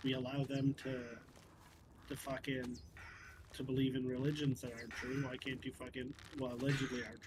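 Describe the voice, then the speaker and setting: A Canadian accent at a fairly quick pace, with long, frequent pauses. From Canada. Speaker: gaming streamer. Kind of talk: casual chat. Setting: voice chat. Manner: animated.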